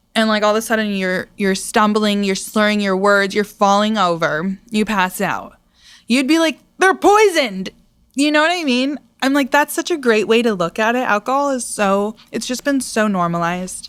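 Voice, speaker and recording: A woman with a plain, everyday voice speaks at a moderate pace and fairly high pitch, her intonation lively, in a very clean recording with a silent background. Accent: American. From US Northeast (Pittsfield, Massachusetts). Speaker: singer-songwriter. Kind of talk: casual chat.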